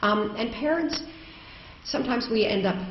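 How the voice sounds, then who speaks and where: A woman with a Canadian accent speaks at a fairly high pitch, with audible room echo and noticeable background noise. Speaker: education advocate, keynote speaker. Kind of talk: conference keynote speech. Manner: loud; hesitant, many ums.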